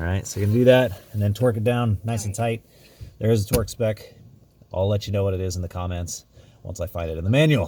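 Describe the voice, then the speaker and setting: On a very clean recording with a silent background, a man talks at a very fast pace in a fairly low, somewhat breathy voice of dark, mellow tone, with ordinary pitch variation. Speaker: DIY car repair video maker. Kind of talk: tutorial. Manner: casual, with many fillers.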